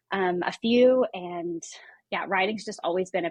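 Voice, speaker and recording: With a Midwestern US accent, a woman talks at a moderate pace and medium pitch against a quiet background. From US Midwest. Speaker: author and staff writer. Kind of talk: interview testimony.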